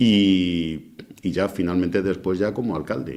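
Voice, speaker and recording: A man at a fairly slow pace. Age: 60s. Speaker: former mayor. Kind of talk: interview. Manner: halting.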